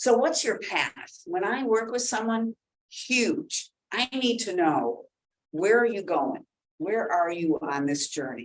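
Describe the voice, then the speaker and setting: Speaking at a fairly slow pace, a woman has a fairly high pitch with vocal fry. Her pitch swings very widely. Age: 60s. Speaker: hospital senior services coordinator and Medicare counselor. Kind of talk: educational seminar presentation. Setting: expo seminar with audience.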